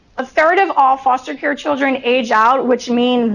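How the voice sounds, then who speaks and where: A woman speaks at a moderate pace in a high voice, with ordinary pitch variation. Noticeable background noise runs under her. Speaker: presenter speaking about foster care youth and education. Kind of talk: formal presentation. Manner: measured, with frequent filler "um" pauses.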